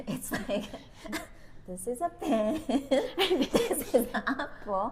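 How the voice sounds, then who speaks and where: In a Japanese accent, a high-pitched woman speaks very slowly with lively intonation over noticeable background noise. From Japan, Tokyo. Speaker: podcast co-host. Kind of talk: casual chat.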